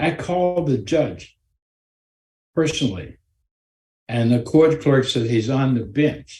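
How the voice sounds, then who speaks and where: Somewhat breathy speech in a dark, mellow tone at a fairly slow pace. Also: man. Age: 80s+. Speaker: anger management instructor. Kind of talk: storytelling talk to a group.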